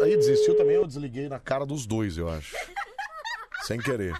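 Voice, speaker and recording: A man speaks at a moderate pace. There is noticeable background noise behind him. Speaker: late-night radio host. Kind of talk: casual radio banter with callers. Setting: radio studio. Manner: animated, joking.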